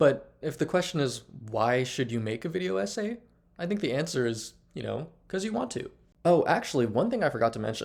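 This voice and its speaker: A man with vocal fry talks at a fairly quick pace in a fairly high pitch, his pitch swinging very widely. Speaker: video essayist and blogger. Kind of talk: unscripted video essay monologue. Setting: talking to camera. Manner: casual, conversational.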